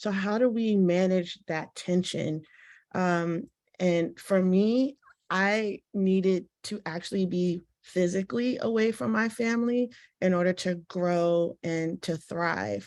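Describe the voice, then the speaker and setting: With an American accent, the speaker talks at a very slow pace with ordinary pitch variation against a quiet background. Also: woman, medium pitch for a woman. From Washington, D.C. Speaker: panelist, academic. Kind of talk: panel discussion. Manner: conversational, many filler words.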